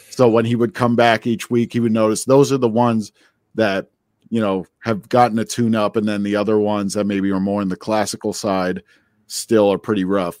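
A man's ordinary speaking voice in an American accent, moderate pace and fairly even intonation, dry and close with no echo in a very clean recording with a silent background. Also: fairly low pitch for a man. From New Jersey. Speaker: musician and bandleader. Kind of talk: interview.

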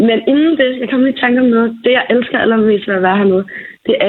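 A woman with a fairly high pitch and lively intonation speaks in a normal speaking voice. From Falster, Denmark. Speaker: friend acting as correspondent. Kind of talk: casual chat.

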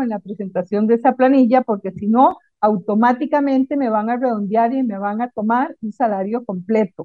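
A woman speaks in an unremarkable speaking voice. Her pitch is fairly high, with ordinary variation. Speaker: accountant. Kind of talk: tutorial; casual chat.

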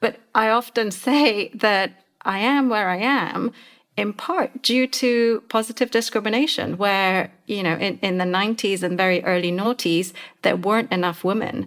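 A woman with an ordinary speaking voice at medium pitch, ordinary pitch variation and a fairly slow pace, in a very clean recording with a silent background. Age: 40s. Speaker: podcast co-host, leadership advisor. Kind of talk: interview.

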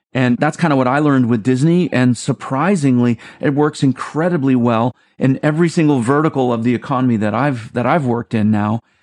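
A man with a plain, everyday voice speaks at a fairly quick pace and medium pitch, with ordinary pitch variation and very even loudness. The sound is dry and close with no echo, over a quiet background. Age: 50s. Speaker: creative executive and theme park designer. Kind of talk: interview.

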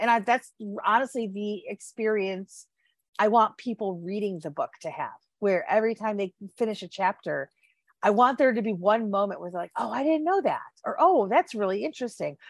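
A woman with a plain, everyday voice speaks at a fairly high pitch and a fairly quick pace, with lively intonation. The recording is very clean over a silent background, and the sound is dry and close with no echo. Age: 40s. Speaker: author. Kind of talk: casual chat.

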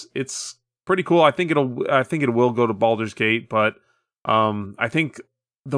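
A man's medium-pitched, a plain, everyday voice at a moderate pace, dry and close with no echo. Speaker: podcast co-host. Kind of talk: casual chat.

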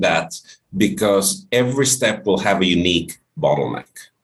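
Here a man talks with a Finnish accent and a fairly low pitch. His intonation is lively and his pace moderate. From Finland. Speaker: short-term rental industry specialist. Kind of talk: interview conversation. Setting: video call.

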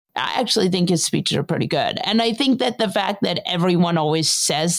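A woman's unremarkable speaking voice, fairly low in pitch, with ordinary pitch variation at a fairly quick pace. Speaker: political commentator. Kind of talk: casual political discussion.

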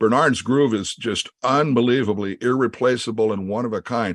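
A man with a Midwestern American accent, medium pitch and moderate pace, over a quiet background. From US Midwest, Creston, Iowa. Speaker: session drummer. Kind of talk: interview.

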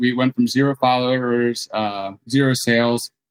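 With an American accent and a medium pitch, a man talks in a normal speaking voice with fairly even intonation, in a dry, close sound with no echo. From New Jersey, near Philadelphia. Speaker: beverage startup co-founder. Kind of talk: interview.

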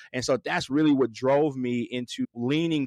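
His intonation is fairly even. The man talks in an American accent. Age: 30s. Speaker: fast-food restaurant executive. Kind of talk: interview.

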